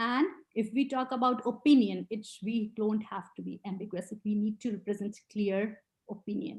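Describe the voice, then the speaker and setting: Somewhat breathy and fairly high-pitched, a woman talks at a moderate pace with fairly even intonation. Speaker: IELTS trainer. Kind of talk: webinar lecture. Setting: online webinar.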